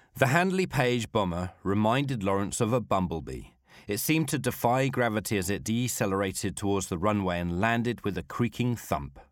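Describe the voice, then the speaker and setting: A man with a normal speaking voice talks at a fairly quick pace, his fairly low pitch carrying lively intonation on a very clean recording with a silent background. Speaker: podcast host and storyteller. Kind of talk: history documentary narration. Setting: studio recording in Warsaw. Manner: measured, storytelling narration with vivid detail; formal, polished scripted delivery.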